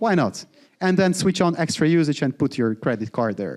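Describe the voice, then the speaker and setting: Speaking with a Polish accent, a man uses a fairly high pitch and very wide pitch swings. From Poland. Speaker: founder giving workshop talk. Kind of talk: live workshop presentation. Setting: live event with audience. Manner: casual, interactive with audience.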